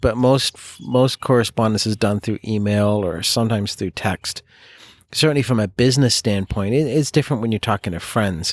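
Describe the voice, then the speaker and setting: In a very clean, dry, close recording with no echo and a silent background, a man speaks at a fairly quick pace at a medium pitch with ordinary pitch variation. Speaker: podcast co-host. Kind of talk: casual chat. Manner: soft-spoken, not loud.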